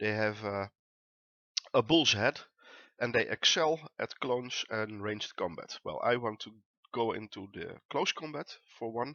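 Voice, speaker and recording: With a Dutch accent, a man speaks at a medium pitch and a fairly slow pace, using ordinary pitch variation and long, frequent pauses. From Netherlands. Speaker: gaming YouTuber. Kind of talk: let's play commentary. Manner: many filler words (uh).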